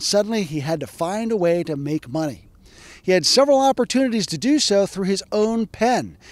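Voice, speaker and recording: Lively in intonation, a man speaks at a very fast pace with a dry sound and no echo. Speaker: historian. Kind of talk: educational narration. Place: open country. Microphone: handheld.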